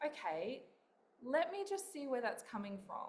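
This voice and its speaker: With an Australian accent and lively intonation, a woman talks at a fairly slow pace amid audible room echo and noticeable background noise. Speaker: author and spiritual coach. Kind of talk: interview.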